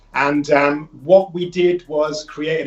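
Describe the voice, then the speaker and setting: This man has a British accent and a fairly high pitch. His intonation stays fairly even. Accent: UK. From northern England, Leeds. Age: 40s. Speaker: holistic health business owner. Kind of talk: radio interview. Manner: hesitant, many fillers.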